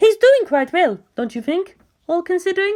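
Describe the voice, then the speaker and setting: This is a put-on character voice, squeaky and soft-spoken. It moves at a moderate pace. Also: female-sounding voice. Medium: read story. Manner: soft, sweet.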